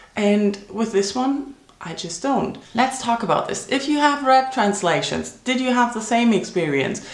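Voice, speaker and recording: In a German accent, a woman talks at a fairly slow pace with hardly any pauses, her fairly high pitch carrying lively intonation. Audible room echo and noticeable background noise fill the recording. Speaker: book vlogger. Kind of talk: casual vlog monologue.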